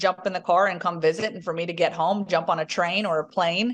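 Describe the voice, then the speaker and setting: Over noticeable background noise, a woman with a slight Southern US accent speaks with fairly even intonation. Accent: slight Southern drawl, toned down. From US South, Southwest Virginia. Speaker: sports reporter. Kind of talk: interview.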